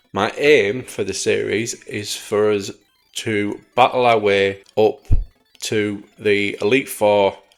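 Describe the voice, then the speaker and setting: A man's voice over music in the background. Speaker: gaming youtuber. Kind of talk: gameplay commentary. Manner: halting.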